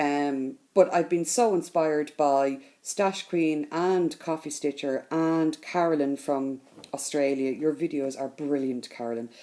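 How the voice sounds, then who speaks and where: Speaking very slowly with a Dublin accent, a woman has a very deep, low pitch and a dark, mellow tone in a very clean recording with a silent background. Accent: Dublin Irish. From Ireland, Dublin. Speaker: crafting vlogger. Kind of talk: casual vlog talk to camera.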